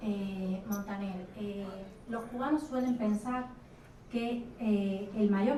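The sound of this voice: A woman's dark, mellow voice at medium pitch, fairly even in intonation, with audible room echo.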